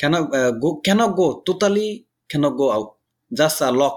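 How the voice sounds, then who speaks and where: A man with a Bengali accent talks at a fairly slow pace. His pitch is fairly high and his intonation lively. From Bangladesh. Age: 30s. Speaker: migrant construction worker. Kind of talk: interview. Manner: halting.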